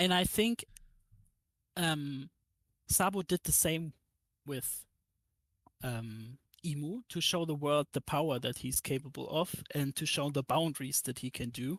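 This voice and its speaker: A woman with a German accent speaks at a very deep, low pitch with long, frequent pauses, on a very clean recording with a silent background and a dry, close sound without echo. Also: ordinary pitch variation, fairly slow pace. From Germany. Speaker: YouTube anime content creator. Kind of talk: casual chat.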